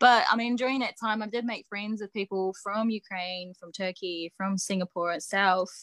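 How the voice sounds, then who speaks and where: Speaking with a New Zealand accent, a woman of medium pitch talks at a moderate pace with hardly any pauses, fairly even intonation and big swings in loudness, in a dry, close sound with no echo. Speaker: professional wrestler and coach. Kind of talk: casual interview. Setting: video call.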